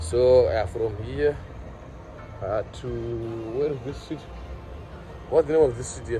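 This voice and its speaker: Lively intonation with a non-native accent, amid audible room echo. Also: man. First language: Shona. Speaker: vlogger. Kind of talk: walking street vlog. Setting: outdoors on a city street. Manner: casual, halting with many fillers.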